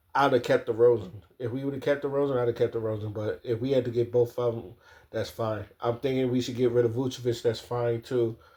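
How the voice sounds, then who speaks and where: A man talks very fast at a medium pitch, his dark, mellow tone somewhat breathy and his intonation monotone and flat. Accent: American. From Maryland, US. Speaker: sports commentator. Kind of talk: casual monologue.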